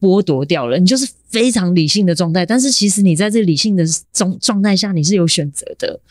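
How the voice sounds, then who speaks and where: A woman speaks at a medium pitch with lively intonation. Her pace is fairly quick, and she has an unremarkable speaking voice. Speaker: percussionist and sound artist. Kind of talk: casual interview conversation.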